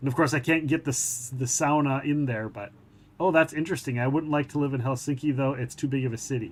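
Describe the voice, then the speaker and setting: In an American accent, this man speaks at a very fast pace. He has a fairly high pitch. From Minnesota, US. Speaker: gaming livestreamer. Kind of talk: casual livestream chat. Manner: animated.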